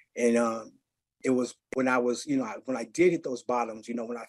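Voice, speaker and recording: A man with an American accent, medium in pitch, at a moderate pace. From Seattle, Central District. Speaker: recovering addict, music nonprofit director. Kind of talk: podcast interview, recovery testimony. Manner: animated.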